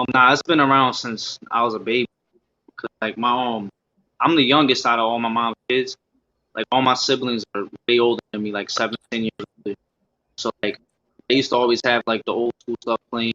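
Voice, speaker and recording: In an American accent, a man talks at a fairly quick pace with long, frequent pauses. His intonation is monotone and flat. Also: medium pitch for a man. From US Northeast, Scranton, Pennsylvania. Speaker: rapper. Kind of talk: casual interview.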